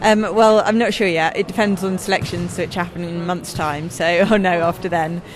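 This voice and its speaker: Music plays in the background as a woman talks at a fairly quick pace. She barely pauses, and her intonation is fairly even. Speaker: wheelchair basketball player. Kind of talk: interview answer.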